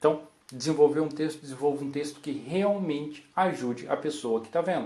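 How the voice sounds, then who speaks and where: The man's pitch is fairly high and his pace moderate. Audible room echo surrounds his voice. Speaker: copywriter giving a talk. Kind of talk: conference talk. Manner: animated.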